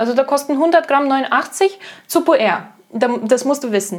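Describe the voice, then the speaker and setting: A woman speaks at a high pitch with lively intonation. She has a slight Russian accent. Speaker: tea shop employee, retail trainee. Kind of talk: casual chat. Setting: home kitchen.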